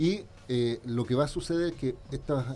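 This is a man with a medium-pitched voice. His tone is dark and mellow. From Chile, Valparaíso. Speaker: lawyer and former telecom official, tech commentator. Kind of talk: radio talk show commentary.

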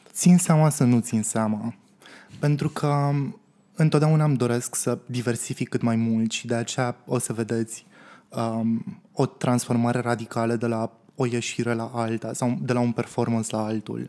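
With a dark, mellow tone and ordinary pitch variation, a man speaks at a fairly slow pace in a very clean recording with a silent background. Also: medium pitch for a man. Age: 20s. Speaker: drag performer. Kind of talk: interview.

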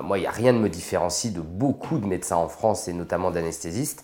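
A man with a normal speaking voice and a fairly low pitch. He talks at a moderate pace with ordinary pitch variation. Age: 40s. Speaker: anesthesiologist and intensive care doctor. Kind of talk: interview.

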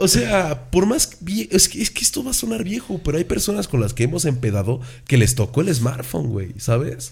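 Delivered at a moderate pace with hardly any pauses, the voice sounds animated, with very wide pitch swings and some vocal fry. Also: man, medium pitch for a man. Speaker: podcast host. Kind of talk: casual chat.

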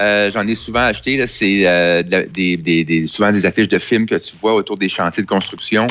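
A man speaks with fairly low pitch and ordinary pitch variation, at a fairly slow pace. His loudness stays very even, with hardly any pauses. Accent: Quebec. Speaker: tech columnist. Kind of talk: casual chat.

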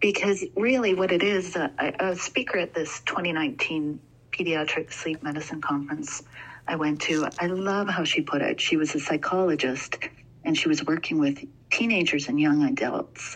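This woman speaks with a Canadian accent at a moderate pace. Her intonation is lively. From Alberta, Canada. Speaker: sleep training consultant. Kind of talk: casual interview.

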